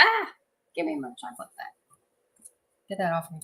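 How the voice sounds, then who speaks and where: A woman's bright, sharp tone in a slight Southern US accent. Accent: slight Southern twang. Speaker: 3D printing streamer. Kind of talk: casual chat. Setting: livestream.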